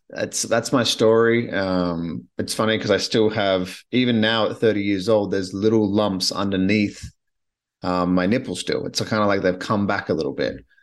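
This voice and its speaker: Over a quiet background, a man speaks at a moderate pace with a fairly low pitch and fairly even intonation. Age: 30s. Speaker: podcast host. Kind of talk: personal monologue. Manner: halting.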